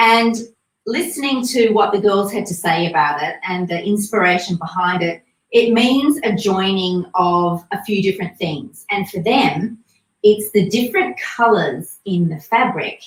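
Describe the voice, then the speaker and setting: Somewhat breathy, a woman speaks at a medium pitch and a fairly slow pace. Her pitch variation is ordinary. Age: 50s. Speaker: boutique owner presenting swimwear. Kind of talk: live product review stream. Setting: livestream. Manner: chatty, warm.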